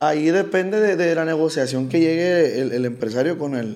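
A man talks with a Sinaloan accent and lively intonation. Audible room echo fills the recording. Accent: Culiacán Sinaloan. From Culiacán, Sinaloa, Mexico. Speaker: regional Mexican band singer. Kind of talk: casual chat. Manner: reserved.

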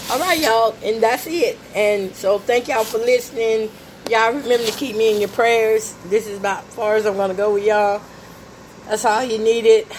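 The voice keeps a fairly even intonation and moves at a fairly quick pace. Its loudness swings widely, and background noise is noticeable. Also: woman, fairly high pitch for a woman. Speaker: podcast host, home cook. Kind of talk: casual cooking chat.

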